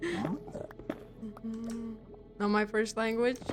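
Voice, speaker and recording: With music playing in the background, a woman speaks at a fairly high pitch in a Russian accent. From Germany, Russian-speaking family. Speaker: gaming streamer. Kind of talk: casual live-stream chat while gaming.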